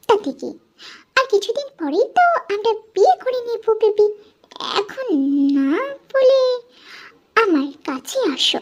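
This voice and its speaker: A woman uses a put-on character voice, squeaky and extremely high in pitch. She moves at a moderate pace with very wide pitch swings. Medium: read story. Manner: sweet-talking, rhyming wordplay.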